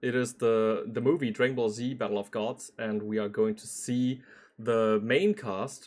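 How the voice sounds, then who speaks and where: Lively intonation runs through this man's medium-pitched voice as he talks at a fairly slow pace in a German accent. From Germany. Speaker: streamer reacting to anime dubs. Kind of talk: casual reaction commentary. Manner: hesitant, filler-heavy.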